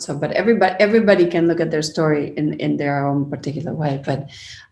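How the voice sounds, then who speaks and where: Audible room echo surrounds a woman speaking very fast. Her pitch is very deep and low, with ordinary variation. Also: hardly any pauses. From Argentina. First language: Spanish. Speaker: media professional. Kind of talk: interview conversation.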